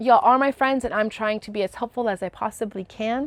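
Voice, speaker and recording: A woman with a plain, everyday voice speaks at a fairly high pitch with ordinary pitch variation, the sound dry and close with no echo over a quiet background. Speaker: crochet video host. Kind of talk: casual chat.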